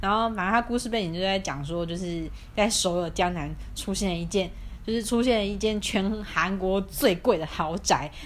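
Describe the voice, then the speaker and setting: Ordinary pitch variation and a moderate pace from a woman at a medium pitch. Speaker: podcast co-host. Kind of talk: casual chat. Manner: animated.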